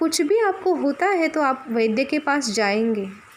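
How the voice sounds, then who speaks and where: A woman with a high pitch, over noticeable background noise. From Maharashtra, India. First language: Marathi (speaking Hindi). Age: 20s. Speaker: spiritual teacher (sadhvi). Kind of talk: spiritual talk.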